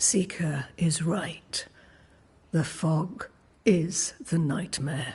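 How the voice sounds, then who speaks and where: In a put-on character voice at a middle pitch, the speaker talks at a very slow pace. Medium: video game. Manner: serene, gently cryptic.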